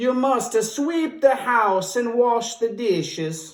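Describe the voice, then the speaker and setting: In a put-on character voice, fairly high in pitch, the speaker goes at a very slow pace. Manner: commanding.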